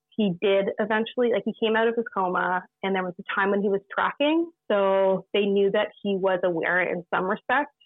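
At a moderate pace, a normal speaking voice delivers its lines with fairly even intonation. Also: woman. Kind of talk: casual interview. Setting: video call.

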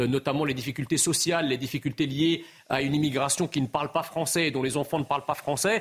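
A man's fairly high-pitched voice, a normal speaking voice with ordinary pitch variation, on a very clean recording with a silent background. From immigrated to France as a child, not a native French speaker. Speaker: political commentator, association president. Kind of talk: televised debate.

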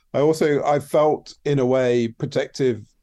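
A dark, mellow tone with an English accent and fairly even intonation. The background is quiet. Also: man. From England. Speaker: TV production designer. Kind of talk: interview. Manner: halting, many fillers.

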